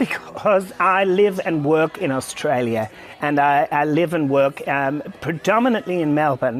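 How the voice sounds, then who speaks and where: Noticeable background noise behind a woman's very deep, low voice with lively intonation. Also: fairly slow pace. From London, England. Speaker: cabaret performer and festival director. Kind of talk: TV interview.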